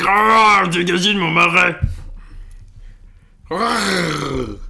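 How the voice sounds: A man uses a raspy, put-on character voice with a high pitch at a very slow pace. Echo is audible.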